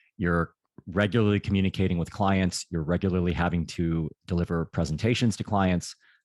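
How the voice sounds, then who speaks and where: A man with an American accent speaks at a fairly quick pace in a very deep, low voice, his intonation fairly even, recorded dry and close with no echo against a quiet background. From United States. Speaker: career consultant. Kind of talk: interview.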